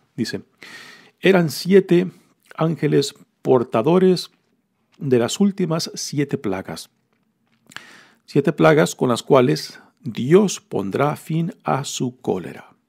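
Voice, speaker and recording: With a fairly high pitch and very wide pitch swings, a man speaks at a very slow pace, with vocal fry and long, frequent pauses. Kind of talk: homily-style scripture reflection. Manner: conversational, explanatory, with hesitations and fillers.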